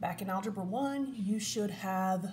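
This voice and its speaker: A woman's somewhat breathy, medium-pitched voice at a fairly slow pace, with ordinary pitch variation. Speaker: math teacher. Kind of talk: tutorial.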